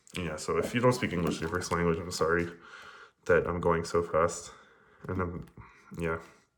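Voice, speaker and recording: Audible room echo surrounds a man with a very deep, low voice. He uses fairly even intonation and takes long, frequent pauses. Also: moderate pace. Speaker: speedcuber explaining solves. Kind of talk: casual tutorial commentary.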